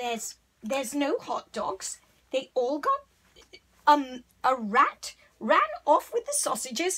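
At a very slow pace, a female-sounding voice uses a high-pitched, put-on character voice. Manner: brisk, bossy.

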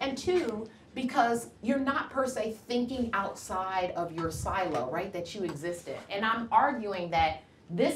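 With an American accent, a woman's pitch swings very widely, heard with audible room echo and light background noise. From Cleveland, Ohio, US; Ohio. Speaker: physician; guest. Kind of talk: lecture. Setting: lecture hall with audience. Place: classroom.

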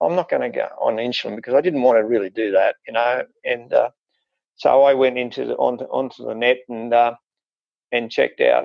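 Here a man talks at a moderate pace. The sound is dry with no echo over a quiet background. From Queensland, Australia. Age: 70s. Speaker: interview guest, former diabetic. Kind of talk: interview answer. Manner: hesitant, many fillers. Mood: relaxed, pleased. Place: home room. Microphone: earbuds.

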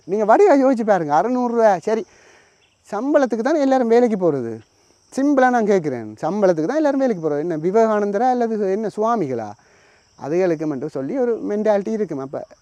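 This man's voice sits high in pitch, with a dark, mellow tone and very wide pitch swings. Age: 30s. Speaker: YouTube commentator. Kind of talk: monologue commentary.

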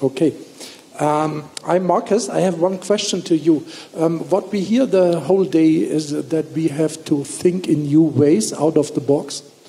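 A man speaks with a fairly high pitch and a dark, mellow tone. His delivery is fairly slow, with vocal fry. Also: ordinary pitch variation.

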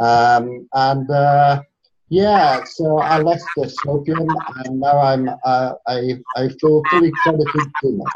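A man speaks with a Scottish accent over light background noise. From Scotland. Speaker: environmental activist; interview guest. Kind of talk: interview. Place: home room.

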